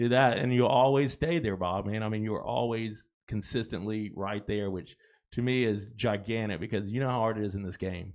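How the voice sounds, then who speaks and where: Using a plain, everyday voice, a man speaks at a fairly low pitch with ordinary pitch variation. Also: fairly quick pace. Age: 60s. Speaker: podcast host. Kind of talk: casual chat.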